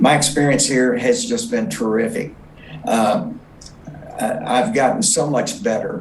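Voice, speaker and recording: Very wide pitch swings at a fairly slow pace, with long, frequent pauses, audible room echo and noticeable background noise. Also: man, fairly high pitch for a man. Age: 70s. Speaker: patient. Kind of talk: testimony. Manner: halting, many fillers.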